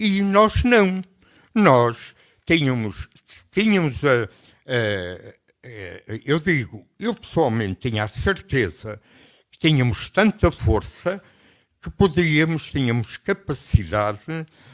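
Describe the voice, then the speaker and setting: On a very clean recording with a silent background, a man with a European Portuguese accent speaks very slowly at a fairly high pitch, with very wide pitch swings and long, frequent pauses. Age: 80s+. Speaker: retired army general, revolution veteran. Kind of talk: radio interview answer.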